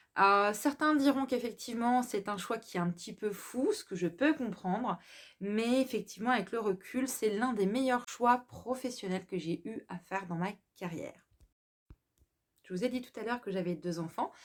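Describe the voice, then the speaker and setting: Speaking at a moderate pace, a woman with a fairly high pitch and ordinary pitch variation is heard on a very clean recording with a silent background. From France, Alsace. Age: 30s. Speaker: self-employed vlogger presenting her business. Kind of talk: personal introduction monologue. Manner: hesitant, many fillers.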